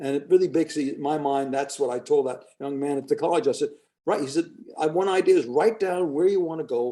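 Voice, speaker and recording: A man talks at a very fast pace in a fairly high pitch, his tone dark and mellow and his intonation lively. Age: 80s+. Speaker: author and serial entrepreneur. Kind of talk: interview.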